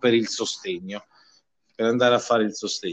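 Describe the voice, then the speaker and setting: At a moderate pace, a man talks in a medium pitch with an ordinary speaking voice. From Villanova, province of Viterbo, Italy. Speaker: trade union official. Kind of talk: interview.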